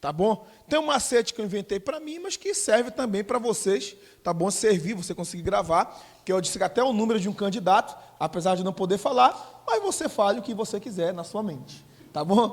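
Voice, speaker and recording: Loud and lively in intonation, a man speaks in a high voice. His pace is fairly quick. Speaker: teacher for civil service exam. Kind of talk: lecture.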